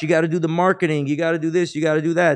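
A man talks at a very fast pace with a New York accent. His pitch is high. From Queens, New York. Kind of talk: casual interview.

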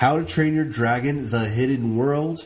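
It's a normal speaking voice, a man at medium pitch with ordinary pitch variation. His pace is fairly slow. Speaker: podcast co-host. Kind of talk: casual podcast banter.

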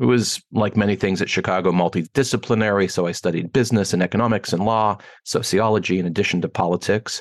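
A man with a Pittsburgh accent at a fairly low pitch, very fast pace, very even loudness and ordinary pitch variation, in a dry, close sound with no echo over a quiet background. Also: hardly any pauses. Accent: American, Pittsburgh. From Pittsburgh, Pennsylvania, US. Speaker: wealth education founder. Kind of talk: interview.

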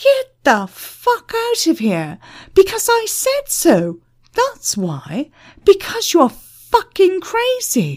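A woman shouts in a put-on character voice at an extremely high pitch, her tone slightly mellow. She goes at a slow pace, and her pitch swings very widely.

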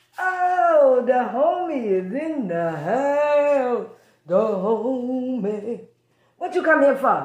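Using a put-on character voice, a woman speaks at a very slow pace in a high pitch with very wide pitch swings. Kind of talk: comic character bit. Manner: swaggering, blunt.

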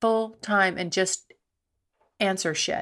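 On a very clean recording with a silent background, a woman speaks very slowly in a bright, sharp tone. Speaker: sex and relationships podcast host. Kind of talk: casual monologue answering listener questions. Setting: home recording. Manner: rambling, halting with many fillers.

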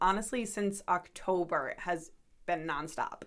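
A woman with an American accent speaks at a moderate pace in an unremarkable speaking voice. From Rhode Island, US. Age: 20s. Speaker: psychic medium. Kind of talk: casual interview chat. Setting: studio.

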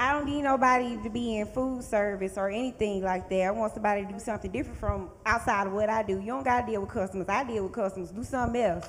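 A woman with an American accent talks at a very fast pace with ordinary pitch variation over noticeable background noise. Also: fairly high pitch for a woman. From Georgia, US (Thomaston). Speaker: bartender and visual merchandiser. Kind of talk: casual chat.

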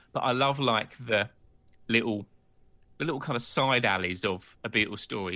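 A man's medium-pitched voice with a British accent, a bright, sharp tone, ordinary pitch variation and a moderate pace, against a quiet background. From Britain. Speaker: podcast host. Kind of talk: casual chat. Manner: halting.

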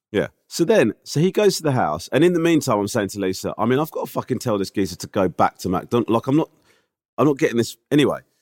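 Speaking at a very fast pace, a man with a British accent uses a medium pitch with very wide pitch swings. The sound is dry and close, with no echo. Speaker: podcast co-host. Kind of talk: casual chat.

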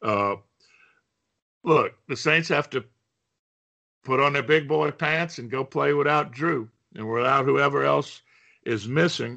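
A man talks at a fairly slow pace with long, frequent pauses and vocal fry. His pitch is fairly high, with ordinary pitch variation. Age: 60s. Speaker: sports commentator. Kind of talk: casual sports talk.

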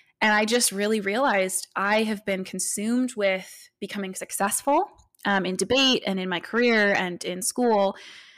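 With an American accent, a woman in a normal speaking voice talks at a moderate pace, medium-pitched with fairly even intonation, on a very clean recording with a silent background. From US, military family moving around. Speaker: author and seminary student. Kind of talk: interview conversation.

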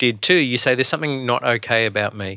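The recording is very clean, with a silent background. A man speaks in an Australian accent at a medium pitch. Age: 40s. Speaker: pastor and podcast host. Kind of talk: casual chat.

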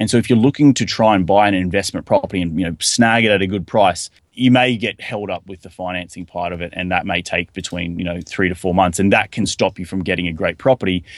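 A man with an Australian accent and a very deep, low pitch speaks at a very fast pace with hardly any pauses, ordinary pitch variation and big swings in loudness. The sound is dry and close with no echo, over a quiet background. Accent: thick Australian. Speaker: real estate investor. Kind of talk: podcast interview.

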